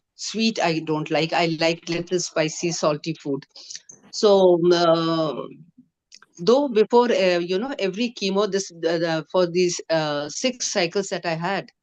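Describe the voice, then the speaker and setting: This is a normal speaking voice at a fairly slow pace with ordinary pitch variation. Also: woman, fairly low pitch for a woman. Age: 60s. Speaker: cancer survivor. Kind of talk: testimony. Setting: video call.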